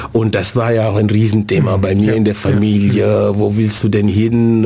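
Noticeable background noise sits behind a man's voice. He talks at a moderate pace, fairly low in pitch and monotone, with flat intonation. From Senegal. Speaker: city integration coordinator. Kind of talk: radio interview. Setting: radio studio. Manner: hesitant, many fillers.

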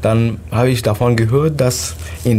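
There is noticeable background noise. A man speaks at a very slow pace. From Syria. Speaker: refugee. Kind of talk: casual interview. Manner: halting.

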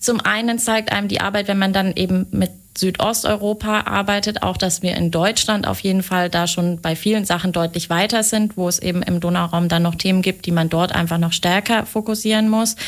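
Fast-moving with hardly any pauses, a woman with an unremarkable speaking voice talks at a medium pitch and fairly quick pace, with fairly even intonation and very even loudness. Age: 20s. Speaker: project manager at a city European office. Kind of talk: radio interview. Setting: radio studio.

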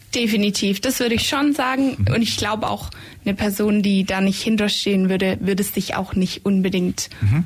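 A woman with a normal speaking voice talks at a moderate pace and medium pitch, with ordinary pitch variation and very even loudness. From Swabian Jura, Germany. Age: 20s. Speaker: psychology student, shared-house resident. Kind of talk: radio interview. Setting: radio studio.

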